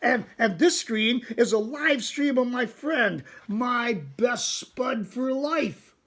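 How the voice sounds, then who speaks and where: Doing a put-on character voice, a man speaks at an extremely high pitch and a very slow pace, with hardly any pauses. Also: ordinary pitch variation. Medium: read story. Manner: chatty, self-satisfied.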